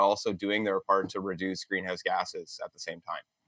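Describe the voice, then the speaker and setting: A man with a Canadian accent talks at a fairly quick pace. The background is quiet. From southwestern Ontario, Canada. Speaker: environmental studies professor. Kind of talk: interview conversation. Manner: hesitant, many fillers.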